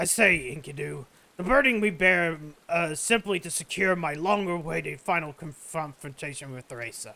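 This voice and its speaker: This is a man using a put-on character voice with a high pitch. He talks at a moderate pace. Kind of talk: archaic, formal. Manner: pompous.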